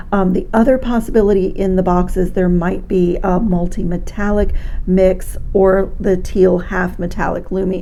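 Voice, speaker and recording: A woman of medium pitch speaks in a monotone, flat intonation, with audible room echo and noticeable background noise. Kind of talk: product review tutorial.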